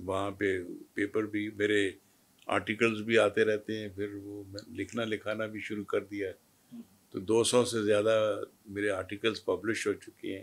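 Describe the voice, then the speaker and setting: A man's fairly low voice in a monotone, flat intonation. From Pakistan. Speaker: retired army brigadier, war veteran. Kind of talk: interview. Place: studio. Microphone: lapel.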